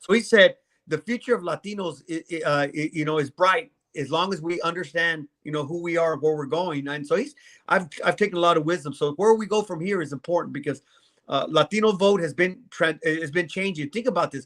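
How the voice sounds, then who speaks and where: Talking at a fairly quick pace, a man with a high pitch and ordinary pitch variation sounds animated, the dry, close sound having no echo in a very clean recording with a silent background. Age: 60s. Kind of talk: live show conversation.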